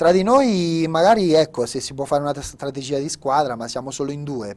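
An unremarkable speaking voice moves at a moderate pace with lively intonation. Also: man. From Italy, Marche. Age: 20s. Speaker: open water swimmer; guest. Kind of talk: interview. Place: studio.

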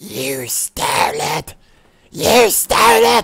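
The speaker puts on a raspy character voice. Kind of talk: film character impression. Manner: hissing, frantic.

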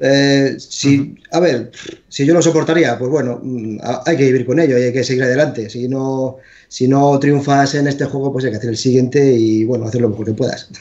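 With a normal speaking voice, a man talks at a fairly quick pace, his medium pitch held to fairly even intonation. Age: 40s. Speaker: video game developer. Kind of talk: interview.

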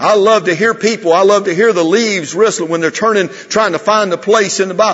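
A man's high voice at a fairly quick pace, with fairly even intonation. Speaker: preacher. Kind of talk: sermon. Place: church.

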